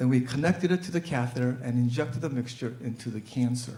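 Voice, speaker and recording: With an American accent and vocal fry, a man talks at a moderate pace in a dark, mellow tone with lively intonation. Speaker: physician. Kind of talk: live storytelling performance.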